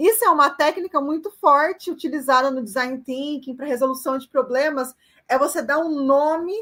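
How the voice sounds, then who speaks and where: With ordinary pitch variation, the voice keeps a moderate pace. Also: woman. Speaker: university lecturer. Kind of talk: online lecture.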